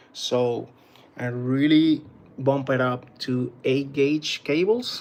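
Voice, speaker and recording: A man with a Puerto Rican accent speaks at a medium pitch. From Puerto Rico. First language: Spanish. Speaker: battery tester and DIY group moderator. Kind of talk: live stream equipment demonstration. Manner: halting, many fillers.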